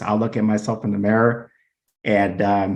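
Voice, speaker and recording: In a monotone, flat delivery, a man talks at a moderate pace with a fairly low pitch. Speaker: ADHD support group founder. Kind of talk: webinar interview. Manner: halting.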